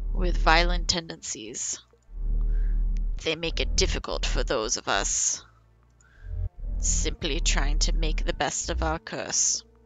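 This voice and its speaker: A put-on character voice at a fairly slow pace. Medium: solo performance. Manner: formal, gloomy, measured.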